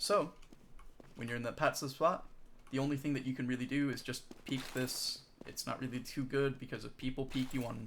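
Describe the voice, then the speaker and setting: A man with an ordinary speaking voice talks at a medium pitch and a moderate pace. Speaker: competitive game coach. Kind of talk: tutorial.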